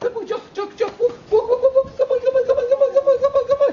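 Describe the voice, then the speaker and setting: An extremely high-pitched, put-on character voice races along at a very fast pace. The tone is excited. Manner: fast, repetitious, excited.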